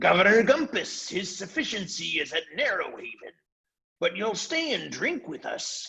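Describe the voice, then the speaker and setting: A man's high-pitched, put-on character voice with very wide pitch swings. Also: moderate pace. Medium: read story. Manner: breezy, coarse.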